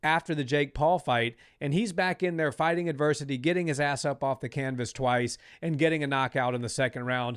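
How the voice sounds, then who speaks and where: A man with an American accent speaks at a fairly quick pace in an animated tone, his pitch fairly high with ordinary variation, on a very clean recording with a silent background. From United States. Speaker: combat sports podcast host. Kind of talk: casual podcast chat.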